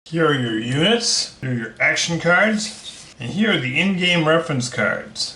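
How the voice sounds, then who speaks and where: This man has a high pitch, very wide pitch swings and an American accent. Audible room echo and noticeable background noise surround his voice. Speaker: board game reviewer. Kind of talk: unboxing video.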